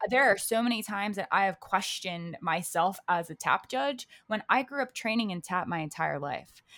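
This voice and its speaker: A woman with an American accent at medium pitch, bright, sharp in tone, lively in intonation, at a moderate pace, on a very clean recording with a silent background. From Maryland, US (Baltimore). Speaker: professional dancer and dance judge. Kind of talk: casual interview. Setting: home office.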